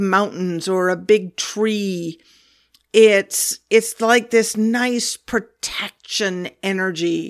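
A woman speaks with a Pacific Northwest accent on a very clean recording with a silent background. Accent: General American, Pacific Northwest. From US Pacific Northwest, Olympia, Washington. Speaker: podcast host, spiritual teacher on whales and dolphins. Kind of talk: spiritual talk / monologue.

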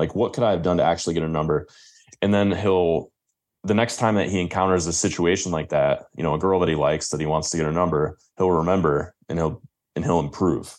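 A man with a Midwestern US accent talks at a very fast pace in a very deep, low pitch. His intonation is fairly even, and the background is quiet. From Michigan. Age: 20s. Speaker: dating and confidence coach. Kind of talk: interview.

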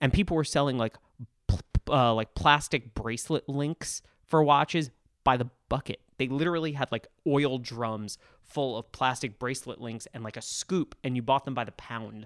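A man's unremarkable speaking voice at medium pitch and moderate pace, on a very clean recording with a silent background and a dry, close sound with no echo. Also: ordinary pitch variation. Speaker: podcast host, watch writer. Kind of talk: casual chat. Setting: watch trade show, recorded after a show day.

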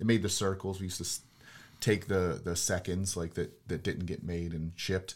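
In a very clean recording with a silent background, a man with a Western Pennsylvania accent talks at a moderate pace in a very deep, low pitch with fairly even intonation. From Pittsburgh, Pennsylvania. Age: 40s. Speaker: real estate investor. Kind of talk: casual chat.

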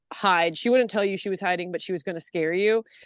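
With a Californian accent, a woman speaks at a medium pitch with lively intonation, the sound dry and close with no echo against a quiet background. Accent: Californian American. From Los Angeles, San Fernando Valley. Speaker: artist and producer. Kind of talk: casual chat. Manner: loud.

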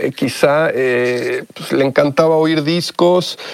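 Speaking very slowly in a fairly high voice with fairly even intonation, a man is recorded with a dry, close sound and no echo. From Mexico. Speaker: musician and music producer. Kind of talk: interview.

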